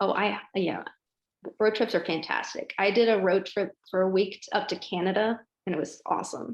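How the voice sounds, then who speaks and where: A woman's medium-pitched voice with an American accent, moderate pace and fairly even intonation. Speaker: interviewee. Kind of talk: casual interview.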